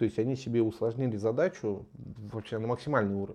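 A man speaks at a moderate pace in a dark, mellow tone, his fairly low pitch rising and falling in an ordinary way. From Novosibirsk, Russia. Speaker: podcast co-host. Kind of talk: casual chat.

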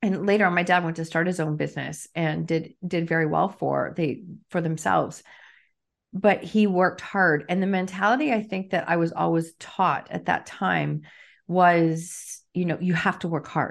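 A woman's ordinary speaking voice, fairly low in pitch, with fairly even intonation against a quiet background. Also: moderate pace. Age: 50s. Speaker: author and coach. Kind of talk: interview conversation.

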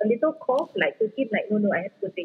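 Fairly high in pitch, the woman's voice carries a Singaporean accent. She is a woman speaking. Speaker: footballer's wife. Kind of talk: casual interview chat. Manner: code-switching English and Malay.

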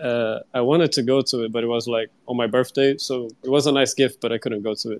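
In a Brazilian accent, a man talks at a fairly quick pace with a medium pitch, fairly even intonation and hardly any pauses. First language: Portuguese. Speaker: digital artist. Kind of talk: casual chat. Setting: live online audio chat. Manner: slightly shy, hesitant.

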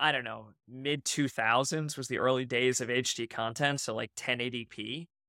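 At a moderate pace, the voice is heard on a very clean recording with a silent background. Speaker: podcast co-host. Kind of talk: casual chat.

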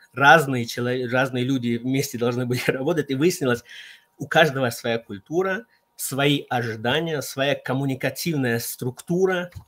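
He has an ordinary speaking voice at medium pitch for a man. His pace is moderate, and his pitch varies in an ordinary way. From Central Asia. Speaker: consultant on team competencies. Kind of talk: online radio talk.

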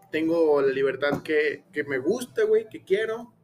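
Noticeable background noise runs behind a man talking at a fairly slow pace. His fairly high pitch shows ordinary variation. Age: 20s. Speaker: podcast host. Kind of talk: casual chat. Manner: animated.

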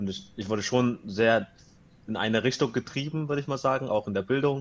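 This man speaks at a moderate pace in a plain, everyday voice of medium pitch. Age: 20s. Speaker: economics student. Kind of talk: casual interview chat.

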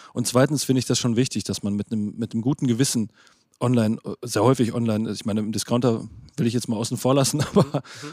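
Dry and close with no echo, a man's medium-pitched voice has a dark, mellow tone. He goes at a very fast pace with fairly even intonation. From Germany, Lippe (East Westphalia). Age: 30s. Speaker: food content creator. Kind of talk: casual chat.

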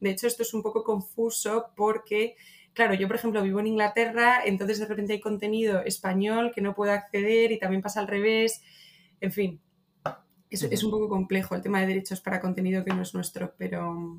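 Moving at a fairly quick pace, the woman speaks with monotone, flat intonation. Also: medium pitch for a woman. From Spain, Madrid. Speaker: marketing manager. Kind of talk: casual interview.

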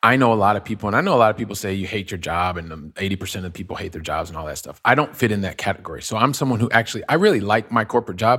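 A bright, sharp voice with a Midwestern US accent races along at a very fast pace with hardly any pauses. Its loudness swings widely while pitch varies in an ordinary way. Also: man, fairly low pitch for a man. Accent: General American, Midwestern. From US Midwest (Ohio). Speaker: real estate investor. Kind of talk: interview. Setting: remote call.

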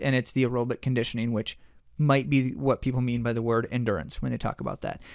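This is a man speaking. His pace is very fast. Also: very clean recording, silent background. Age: 40s. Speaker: running podcast co-host and coach. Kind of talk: casual chat.

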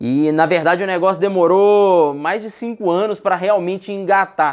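Against a quiet background, a man talks in a high pitch with ordinary pitch variation. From Brazil, Minas Gerais (Contagem, Belo Horizonte, Sete Lagoas). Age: 30s. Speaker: investment fund founder. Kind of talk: casual interview chat. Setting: studio.

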